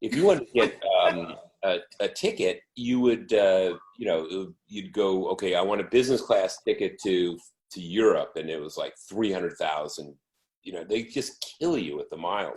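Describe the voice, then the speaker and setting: A man keeps a moderate pace while his loudness swings a lot. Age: 60s. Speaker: photographer, former faculty member. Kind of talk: interview. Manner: animated.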